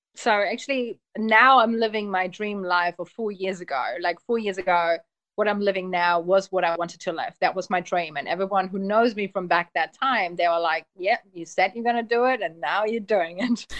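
A woman with a German accent, medium pitch, ordinary pitch variation and hardly any pauses. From Germany, Polish family. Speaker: hypnotherapist. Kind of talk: casual interview. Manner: fast, run-on talker.

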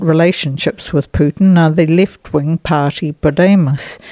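Speaking in a New Zealand accent, the voice has a dark, mellow tone and fairly even intonation at a fairly slow pace. The sound is dry and close, with no echo. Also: woman. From New Zealand (Nelson). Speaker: overseas correspondent. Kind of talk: scripted report.

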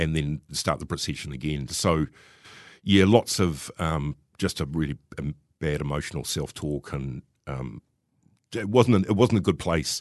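Against a quiet background, a man speaks with a very deep, low pitch. Vocal fry runs through his voice. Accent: New Zealand. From New Zealand, Wellington. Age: 50s. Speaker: recovering alcoholic. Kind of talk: personal testimony interview.

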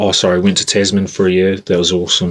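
A man speaks with a New Zealand accent. His pitch is very deep and low. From New Zealand, Christchurch. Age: 20s. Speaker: rugby player. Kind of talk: interview. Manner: halting.

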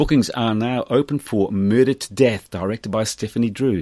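In a quiet background with a dry, close sound and no echo, a man with a normal speaking voice talks at a moderate pace and medium pitch, using lively intonation. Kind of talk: radio DJ patter between songs, plugging theatre shows. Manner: warm, upbeat, chatty community-radio host, friendly and conversational.

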